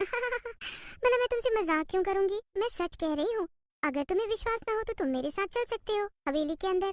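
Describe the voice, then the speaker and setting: A woman's cartoonish character voice, extremely high in pitch, at a moderate pace. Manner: sweet, alluring.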